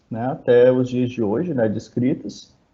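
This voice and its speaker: With a northeastern Brazilian accent, a man talks at a moderate pace in a dark, mellow tone. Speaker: biologist researcher. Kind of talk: lecture.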